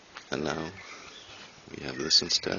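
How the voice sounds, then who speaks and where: Noticeable background noise accompanies a man speaking with a Danish accent. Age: 30s. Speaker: hobby gardener and woodworker vlogger. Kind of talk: casual vlog.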